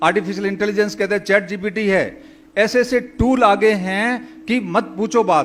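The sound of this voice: A man speaks with a high pitch. His pace is moderate.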